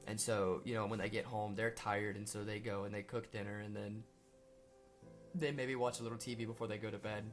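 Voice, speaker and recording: Music plays behind a man with a Southern US accent who talks at a fairly quick pace in a fairly low voice with fairly even intonation. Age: young. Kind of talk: personal testimony talk to camera. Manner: hesitant, earnest.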